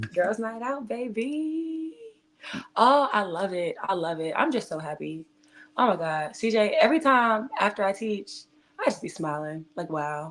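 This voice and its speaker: A woman speaks loudly at a fairly slow pace, medium in pitch, with an animated tone and very wide pitch swings. The recording is very clean with a silent background. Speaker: twerk fitness instructor. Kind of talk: casual chat; motivational message. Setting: livestream.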